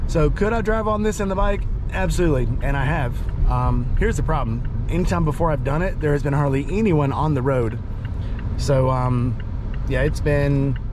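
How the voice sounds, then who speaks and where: A man talks at a moderate pace with very even loudness. The sound is dry with no echo, and there is noticeable background noise. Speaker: motorcycle vlogger. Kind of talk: casual vlog chat. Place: car.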